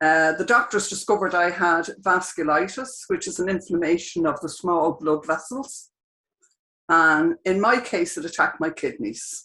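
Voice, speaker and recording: A woman's fairly low-pitched voice with a bright, sharp tone, lively intonation and a moderate pace. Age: 70s. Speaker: dialysis patient. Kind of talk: personal testimony. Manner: reading from notes.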